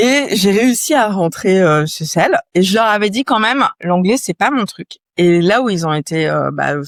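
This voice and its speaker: In a very clean recording with a silent background and a dry, close sound with no echo, a woman with an ordinary speaking voice at medium pitch talks at a fairly slow pace with hardly any pauses, lively intonation and big swings in loudness. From France, Yvelines (Paris region). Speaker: entrepreneur, company founder. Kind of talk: interview conversation. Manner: casual, many fillers.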